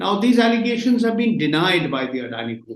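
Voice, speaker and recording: With audible room echo, a man speaks in a high pitch, his voice swinging very widely up and down. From India. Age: 60s. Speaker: journalist. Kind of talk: interview.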